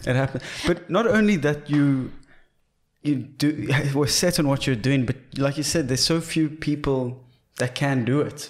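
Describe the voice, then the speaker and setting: A man speaks at a moderate pace with a fairly high pitch. He leaves long, frequent pauses, and his pitch variation is ordinary. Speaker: podcast co-host, comedian. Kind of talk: casual comedic podcast banter. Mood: jokey, animated. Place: studio. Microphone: studio mic.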